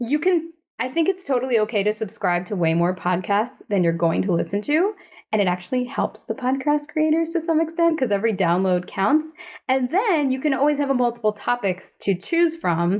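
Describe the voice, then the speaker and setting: A woman's high voice at a fairly quick pace, with very wide pitch swings and very even loudness. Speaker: podcast co-host. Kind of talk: casual chat. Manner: fast.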